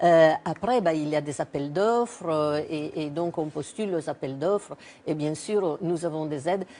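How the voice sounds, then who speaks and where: A woman with a very deep, low pitch and a dark, mellow tone talks at a fairly slow pace, her pitch varying in an ordinary way. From Italy. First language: Italian (speaking French). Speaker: cancer researcher. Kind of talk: TV interview.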